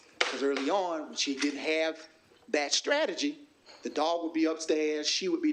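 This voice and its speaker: Fairly high-pitched male voice with a Southern US accent, a moderate pace and ordinary pitch variation. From US South, South Carolina. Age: 40s. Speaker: workshop facilitator. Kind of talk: workshop presentation.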